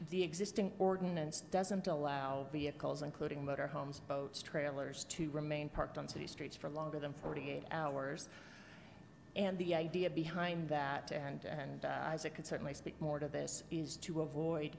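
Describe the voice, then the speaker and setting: A woman with a very deep, low pitch and vocal fry talks over light background noise. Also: fairly even intonation, moderate pace. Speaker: council presenter. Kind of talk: briefing presentation. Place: hall. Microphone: podium.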